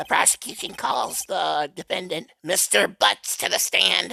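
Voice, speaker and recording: A raspy put-on character voice from a man, dry and close with no echo. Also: fairly slow pace. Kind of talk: courtroom speech. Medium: solo performance.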